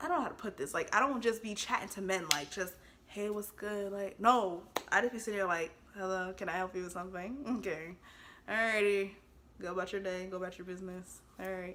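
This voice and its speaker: At a fairly quick pace, a woman with a medium pitch and ordinary pitch variation speaks in an animated tone. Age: 20s. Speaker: storytime vlogger. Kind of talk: casual storytelling.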